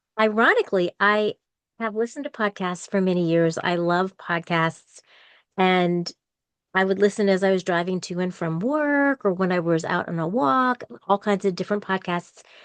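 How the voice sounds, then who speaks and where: In a quiet background with a dry, close sound and no echo, a woman uses an unremarkable speaking voice at medium pitch with ordinary pitch variation. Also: moderate pace. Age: 60s. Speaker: podcaster and university employee. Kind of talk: interview conversation.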